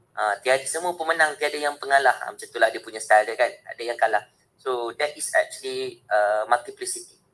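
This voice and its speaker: Loudness swings widely as a man talks at a fairly quick pace in a Malaysian accent. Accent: Malaysian English code-switching with Malay. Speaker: university lecturer and trainer. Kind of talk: webinar lecture. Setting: video call. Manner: animated. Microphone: video call.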